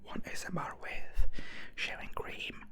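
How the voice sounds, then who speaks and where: There is noticeable background noise. Through it, a man whispers. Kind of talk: ASMR whispered ramble to camera. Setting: studio, close microphone. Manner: whispered, soft-spoken, slow.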